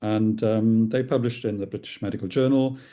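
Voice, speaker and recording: A man with a Welsh accent speaks at a moderate pace in a medium pitch with a dark, mellow tone against a quiet background. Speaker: psychiatrist and clinical researcher. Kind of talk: lecture. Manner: hesitant, many fillers.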